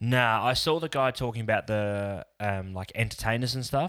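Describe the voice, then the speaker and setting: Very cleanly recorded over a silent background, a man speaks with an Australian accent. His pace is moderate and his pitch variation ordinary. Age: 30s. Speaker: podcast co-host. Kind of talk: casual chat.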